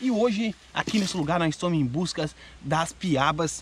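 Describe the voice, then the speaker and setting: A man is heard in a dry sound with no echo. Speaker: fishing vlogger. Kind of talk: casual vlog chat. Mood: joking, flustered retakes. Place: forest. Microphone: phone near.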